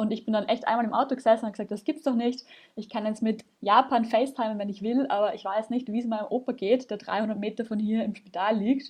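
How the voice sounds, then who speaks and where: With a slight Viennese accent, a woman speaks fairly quickly at a fairly high pitch, somewhat breathy and with fairly even intonation. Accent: slight Viennese Austrian. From Vienna, Austria. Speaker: startup founder. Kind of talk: podcast interview.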